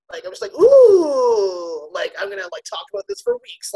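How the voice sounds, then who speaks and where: Recorded with a dry, close sound and no echo, a woman speaks with a Canadian accent. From Canada, Ontario (Scarborough). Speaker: comedian. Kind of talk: casual chat.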